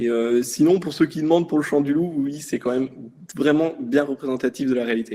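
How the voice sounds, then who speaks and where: Fairly high in pitch with a dark, mellow tone, a man speaks at a fairly quick pace with ordinary pitch variation. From France, Brittany (Brest). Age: 20s. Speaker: navy submarine sonar operator. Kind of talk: interview. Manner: casual, hesitant with fillers.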